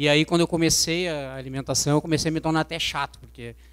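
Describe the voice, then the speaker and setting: A man talks with fairly even intonation at a fairly high pitch. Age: 40s. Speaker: physical education teacher. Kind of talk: personal testimony. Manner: hesitant, many fillers.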